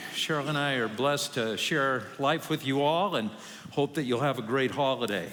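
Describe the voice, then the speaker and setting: Amid audible room echo, a man with a fairly high pitch speaks at a moderate pace, with ordinary pitch variation and very even loudness. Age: 60s. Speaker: pastor. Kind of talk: sermon. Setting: church.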